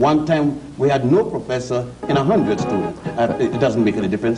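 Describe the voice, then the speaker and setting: With very wide pitch swings and hardly any pauses, the speech runs at a fairly quick pace amid noticeable background noise and audible room echo. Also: man. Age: 60s. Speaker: scholar of African history. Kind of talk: TV panel discussion. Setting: studio.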